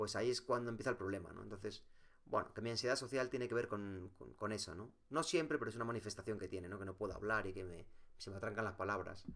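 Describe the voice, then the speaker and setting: Here a man talks at a very fast pace. His pitch is fairly low, with ordinary variation. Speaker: vlogger. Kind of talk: personal vlog monologue. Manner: halting, many fillers and repetitions.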